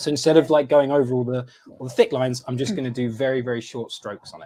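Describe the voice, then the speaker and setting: At a very fast pace, a man talks with a medium pitch and fairly even intonation, his loudness swinging widely. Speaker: craft demonstrator. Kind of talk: live-streamed craft demonstration. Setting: live stream.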